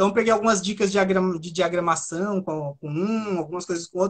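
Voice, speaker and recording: A fairly quick pace drives this speech. The voice is a man's. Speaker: author. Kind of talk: interview.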